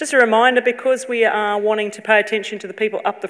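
A woman with an Australian accent against a quiet background. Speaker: university executive. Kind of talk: ceremonial welcome speech. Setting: stage with audience. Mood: warm, friendly, light humour. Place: hall. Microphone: podium.

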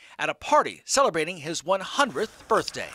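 A man speaks in a raised, projected voice with a bright, sharp tone, very wide pitch swings and a fairly quick pace. The recording is very clean and dry, close and free of echo, with a silent background. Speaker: TV news anchor and reporter. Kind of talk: TV news report narration.

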